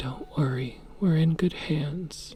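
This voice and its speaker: Soft-spoken, soothing, calm delivery at a very slow pace, with music in the background. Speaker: sleep story and ASMR gaming narrator. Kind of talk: sleep story.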